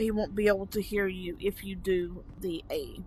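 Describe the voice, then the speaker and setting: The voice is somewhat breathy, with a Southern US accent. It moves at a very slow pace. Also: woman. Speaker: VR gaming YouTuber. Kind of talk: casual gameplay commentary. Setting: VR headset gameplay recording. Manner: casual with frequent fillers.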